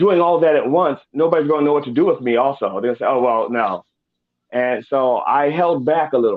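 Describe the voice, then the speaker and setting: With an American accent, a man talks at a fairly quick pace in an ordinary speaking voice, fairly high in pitch with ordinary pitch variation. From Baltimore, US. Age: 60s. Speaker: comedian. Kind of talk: interview.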